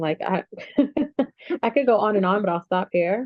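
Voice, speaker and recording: The tone is animated, and the intonation is lively. Delivery moves at a moderate pace. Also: woman. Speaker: mother sharing lived experience. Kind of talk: panel discussion. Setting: video call.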